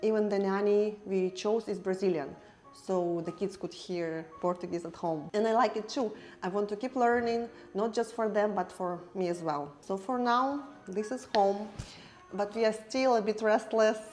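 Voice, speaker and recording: With a non-native accent, a woman talks at a medium pitch. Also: ordinary pitch variation, moderate pace. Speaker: family travel vlogger. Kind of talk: casual vlog narration. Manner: halting, with fillers.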